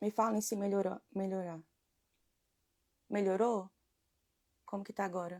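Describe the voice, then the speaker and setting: A soft-spoken woman talks at a medium pitch in a flat monotone. Her speech is broken by long, frequent pauses. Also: fairly slow pace, dry, close sound with no echo. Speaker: women's devotional leader. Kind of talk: devotional live stream. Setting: live stream. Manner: soft-spoken at start.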